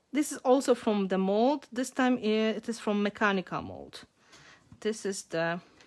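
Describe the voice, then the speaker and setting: This woman has a Polish accent and a fairly high pitch. She talks at a moderate pace with ordinary pitch variation. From Poland. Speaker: mixed media artist. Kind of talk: live craft tutorial. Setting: home art studio, livestream.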